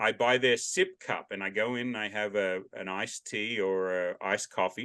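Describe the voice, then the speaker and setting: A loud voice with an Australian accent. Its tone is bright and sharp. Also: man. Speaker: podcast host. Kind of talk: casual interview chat. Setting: video call. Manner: loud, carrying voice.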